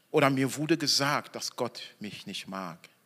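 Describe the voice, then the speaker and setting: Animated in tone, a man speaks at a fairly slow pace. His voice is bright and sharp, with lively intonation. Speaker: preacher. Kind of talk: sermon in church, evening Christmas service. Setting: church with congregation. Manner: animated, emphatic, stressing key words; slow deliberate phrasing, audience call-and-response.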